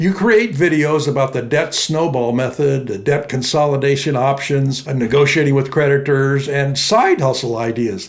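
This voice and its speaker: Amid noticeable background noise and audible room echo, a man talks at a moderate pace with hardly any pauses, using a fairly high pitch and ordinary pitch variation. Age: 80s+. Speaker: entrepreneur, finance YouTuber. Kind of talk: tutorial. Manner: casual.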